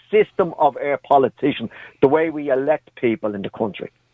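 A man speaks at a fairly quick pace in a Dublin accent. His voice is fairly high, with lively intonation. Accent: Dublin Irish. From Dublin, Ireland. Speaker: caller. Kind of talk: heated debate. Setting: phone call.

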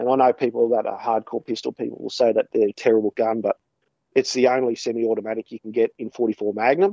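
The speaker has an Australian accent and talks at a very fast pace. The intonation stays fairly even. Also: man, medium pitch for a man. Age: 30s. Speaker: hunter and shooting blogger. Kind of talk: casual interview.

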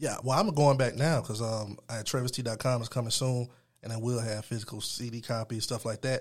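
Fairly quick and somewhat breathy, a man speaks with fairly even intonation. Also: medium pitch for a man, very clean recording, silent background. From Atlanta area, Georgia (Stone Mountain). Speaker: music producer and rapper. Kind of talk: interview.

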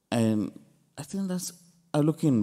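A man's voice at a fairly slow pace, swinging very widely in pitch. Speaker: priest. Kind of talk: homily with personal testimony. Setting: church. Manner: earnest, halting, emotional.

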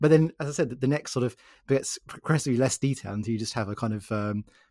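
In a very clean recording with a silent background, a man with a British accent and a dark, mellow tone speaks at a very fast pace with ordinary pitch variation. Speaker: interviewer, podcast host. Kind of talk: interview.

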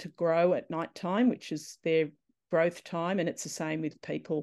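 The woman's intonation stays fairly even, and the background is quiet. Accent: Australian. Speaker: netball coach. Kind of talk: interview.

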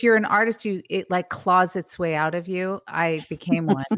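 The speaker has a Californian accent and ordinary pitch variation. The recording is very clean, with a silent background. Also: woman. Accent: General American, Californian. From US West Coast, San Francisco Bay Area. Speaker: painter and author. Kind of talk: interview.

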